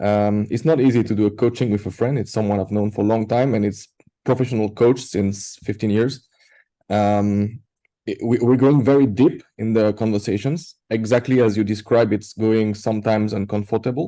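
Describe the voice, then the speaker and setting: Against a quiet background, a man with a French accent speaks at a moderate pace with a fairly low pitch, a dark, mellow tone, and fairly even intonation. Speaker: participant in coaching workshop. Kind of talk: online group discussion. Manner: halting.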